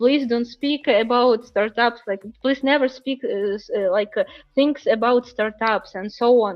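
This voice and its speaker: A woman speaks in a Ukrainian accent at a fairly slow pace. Her pitch is fairly high, with ordinary pitch variation. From Ukraine. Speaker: startup founder. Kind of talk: interview. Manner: halting, many fillers.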